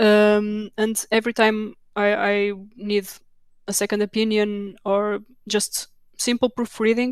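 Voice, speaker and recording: A woman with a Portuguese accent talks at a fairly slow pace, her fairly high voice flat and monotone at a very even loudness. She leaves long, frequent pauses. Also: dry, close sound with no echo. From Portugal. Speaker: technical documentation manager. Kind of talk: conference Q&A. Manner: halting, many repetitions.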